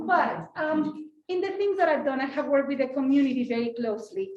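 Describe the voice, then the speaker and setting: A fairly quick pace with a Mexican accent. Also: woman. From Mexico. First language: Spanish. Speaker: school board president. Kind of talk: panel talk. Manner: animated.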